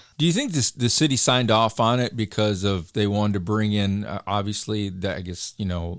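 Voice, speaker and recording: A man with an ordinary speaking voice, fairly low in pitch, at a moderate pace, in a very clean recording with a silent background. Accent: American. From Michigan. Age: 40s. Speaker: podcast co-host. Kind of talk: casual interview conversation.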